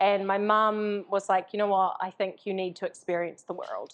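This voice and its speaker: Against a quiet background, a woman speaks with a strong New Zealand accent. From New Zealand, Invercargill (far south). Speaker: entrepreneur, coaching company founder. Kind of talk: live interview on stage. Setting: live event with audience. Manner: casual, with many fillers.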